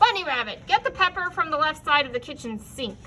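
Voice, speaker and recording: A woman's put-on, gruff, growling character voice, raised and projected, high-pitched with very wide pitch swings at a very fast pace over clear background noise. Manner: growling, gruff.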